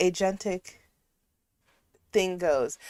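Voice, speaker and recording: A woman speaks at a very slow pace. The recording is very clean, with a silent background and a dry, close sound with no echo. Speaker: livestream host reacting to a video. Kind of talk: casual livestream commentary.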